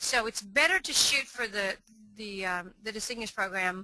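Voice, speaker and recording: At a fairly quick pace, a woman with an American accent speaks at medium pitch with fairly even intonation. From Texas. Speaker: author and college prep speaker. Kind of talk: webinar presentation. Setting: online webinar. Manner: fast.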